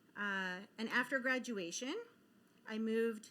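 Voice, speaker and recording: A woman talks with ordinary pitch variation, her voice sitting fairly high. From Israel, then US moves from age ten. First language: Hebrew. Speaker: keynote speaker, media executive. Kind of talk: keynote speech. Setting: conference stage with audience.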